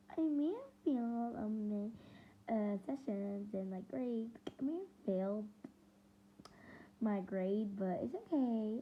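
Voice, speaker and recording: With lively intonation and long, frequent pauses, a woman speaks at a very slow pace in a fairly high, somewhat breathy voice. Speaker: reaction youtuber. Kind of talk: casual reaction commentary.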